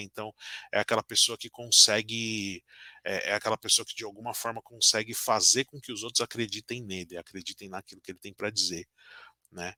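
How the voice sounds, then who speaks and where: On a very clean recording with a silent background, dry and close with no echo, a man with a fairly low pitch and a bright, sharp tone speaks at a moderate pace with fairly even intonation. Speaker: tarot teacher. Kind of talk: lecture. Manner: hesitant, many fillers.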